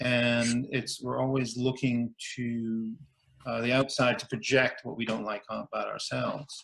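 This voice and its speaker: Fairly slow and monotone with flat intonation, a man talks at a medium pitch. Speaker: theatre artist and songwriter. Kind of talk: casual interview chat. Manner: loud laugh.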